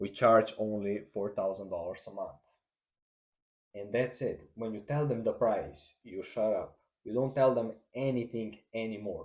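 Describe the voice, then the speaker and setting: A man with a non-native accent delivers his words fairly slowly. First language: not English. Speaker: marketing agency owner / YouTuber. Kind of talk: tutorial. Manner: halting, many fillers and restarts.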